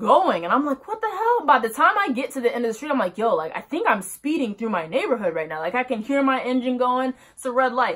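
This woman's high voice swings very widely in pitch. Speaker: vlogger. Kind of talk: casual storytime vlog. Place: home room. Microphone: phone near.

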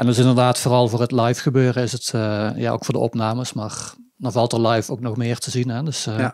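Medium-pitched male speech, monotone and flat, at a fairly quick pace in a very clean recording with a silent background. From southern Netherlands, Limburg (Budel/Weert). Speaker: sitar player in a band. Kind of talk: casual interview chat. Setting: living room.

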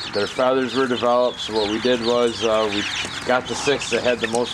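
Loud background noise is present. A man talks at a moderate pace. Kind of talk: casual vlog chat. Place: home room. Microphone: phone near.

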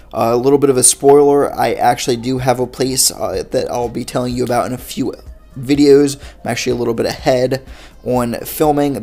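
The speech moves at a fairly quick pace over faint music in the background. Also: man. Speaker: vending business vlogger. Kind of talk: casual vlog chat. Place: home room. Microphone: phone near.

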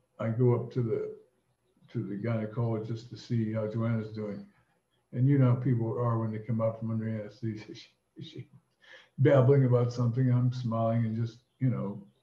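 Against audible room echo, a man talks at a fairly quick pace in a dark, mellow, somewhat breathy voice with monotone, flat intonation. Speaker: storyteller. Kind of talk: casual anecdote telling. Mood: amused, bawdy humor. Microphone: webcam.

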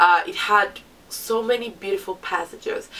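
Noticeable background noise sits behind a woman speaking at a moderate pace with a fairly high pitch and lively intonation. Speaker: book reviewer; literature student. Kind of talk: casual talk to camera.

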